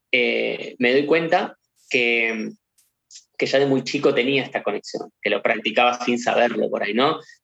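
A man speaks at a moderate pace with a Rioplatense accent. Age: 30s. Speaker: medium, spiritual channeler. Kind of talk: interview.

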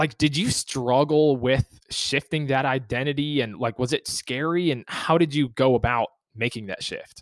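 In an unremarkable speaking voice, a man talks at a medium pitch and moderate pace with fairly even intonation and hardly any pauses. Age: 20s. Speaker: podcast host. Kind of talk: casual interview.

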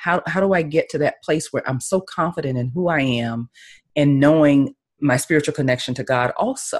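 A woman's very deep, low voice in a Southern US accent, with ordinary pitch variation and a moderate pace, over a quiet background. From US South, Tallahassee, Florida. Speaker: life and business coach. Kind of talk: interview.

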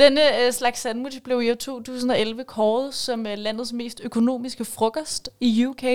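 High-pitched and monotone, a woman speaks very slowly with hardly any pauses, her intonation flat. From Copenhagen western suburbs, Denmark. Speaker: radio host. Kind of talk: casual chat.

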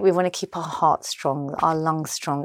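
A woman's very deep, low voice in a London accent, with ordinary pitch variation and a moderate pace, dry and close with no echo on a very clean recording over a silent background. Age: 40s. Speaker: fitness and menopause advocate. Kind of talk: casual chat. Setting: artist's studio.

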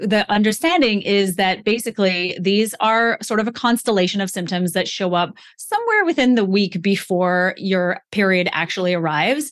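This is a plain, everyday voice at a moderate pace, with ordinary pitch variation. It has hardly any pauses and very even loudness. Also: woman, medium pitch for a woman. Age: 40s. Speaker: women's health coach and author. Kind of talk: casual interview chat.

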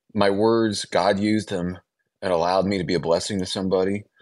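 In a Midwestern American accent, a man talks at a fairly quick pace with a fairly low pitch over a quiet background. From US Midwest, small-town Illinois. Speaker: author and radio host. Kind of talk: radio interview.

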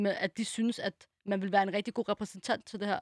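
A woman at a medium pitch speaks at a moderate pace with monotone, flat intonation. The sound is dry and close with no echo, and the recording is very clean over a silent background. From Denmark. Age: 20s. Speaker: special education assistant. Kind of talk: casual chat.

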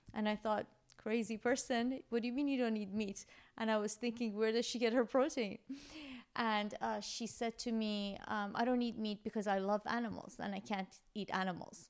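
An ordinary speaking voice from a woman, fairly high in pitch, with fairly even intonation at a moderate pace, on a very clean recording with a silent background. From Iran, moved to US young. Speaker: gastroenterologist. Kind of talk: interview, explaining medical topics. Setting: in person.

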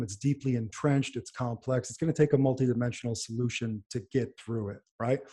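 A man with an American accent talks at a fairly quick pace at medium pitch in a somewhat breathy, dark, mellow tone with ordinary pitch variation. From New York / New Jersey area. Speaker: neurologist and pharmaceutical company founder. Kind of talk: interview.

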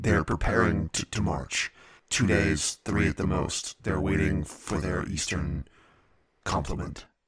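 This is a man doing a put-on character voice. His pitch is very deep and low, and his delivery is fairly slow. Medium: actual play. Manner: terse, clipped, matter-of-fact.

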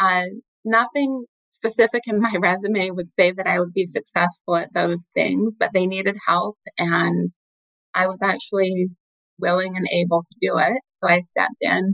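A woman with an American accent and a normal speaking voice, medium pitch, fairly even intonation and a moderate pace, in dry, close sound with no echo. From Utah, US. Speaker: investment director. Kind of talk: interview.

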